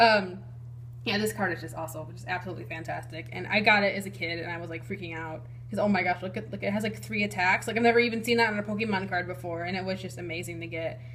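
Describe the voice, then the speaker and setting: A woman with a very deep, low pitch speaks very fast with very wide pitch swings and big swings in loudness, amid noticeable background noise and audible room echo. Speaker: YouTube card collector. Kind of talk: casual collection showcase. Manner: animated, enthusiastic.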